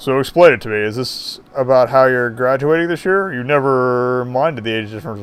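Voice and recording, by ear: Someone is reading aloud. The voice stays natural.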